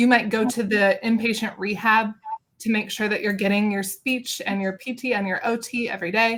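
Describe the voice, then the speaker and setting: Here is a woman with a normal speaking voice and a fairly high pitch. She keeps a moderate pace and ordinary pitch variation. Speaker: speech-language pathologist. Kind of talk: interview answer. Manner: casual, conversational.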